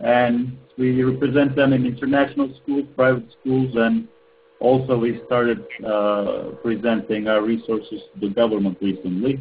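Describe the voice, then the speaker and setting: A man with a Turkish accent speaks at a moderate pace in a medium pitch, his intonation fairly even. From Turkey. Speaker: ed tech entrepreneur. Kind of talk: webinar presentation. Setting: webinar call.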